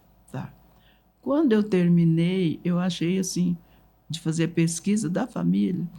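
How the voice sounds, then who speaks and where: With a dark, mellow tone and a somewhat breathy quality, a woman speaks at a fairly slow pace with ordinary pitch variation and long, frequent pauses. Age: 80s+. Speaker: writer and family memory keeper. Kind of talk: interview storytelling.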